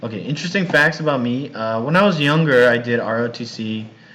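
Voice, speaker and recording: A man's medium-pitched voice with an American accent and lively intonation, plus audible room echo. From US West Coast, Los Angeles. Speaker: university English teacher. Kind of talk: recorded online class introduction. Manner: casual, hesitant with fillers; slow, simple speech for learners.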